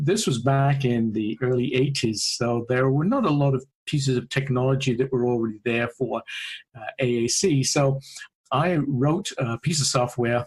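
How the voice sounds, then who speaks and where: Speaking in a British accent at a moderate pace, a man with a medium pitch sounds somewhat breathy and shows ordinary pitch variation. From UK. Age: 50s. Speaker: AAC researcher and speech-language pathologist. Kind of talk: podcast interview.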